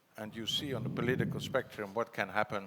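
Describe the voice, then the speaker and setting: A man's fairly low voice with fairly even intonation over noticeable background noise. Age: 60s. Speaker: foundation executive and former politician. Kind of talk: conference panel talk. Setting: conference stage with audience.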